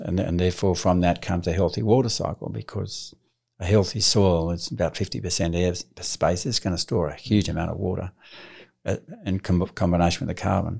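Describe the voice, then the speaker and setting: On a very clean recording with a silent background, a man with an Australian accent speaks at a moderate pace in a very deep, low pitch. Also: ordinary pitch variation. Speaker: farmer and author. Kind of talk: interview conversation.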